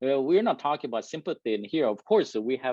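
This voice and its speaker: Dark and mellow in tone, a man's medium-pitched voice makes very wide pitch swings. The sound is dry and close, with no echo. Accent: non-native. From South Korea. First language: Korean. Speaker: engineering manager giving a talk. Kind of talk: presentation to a live and virtual audience.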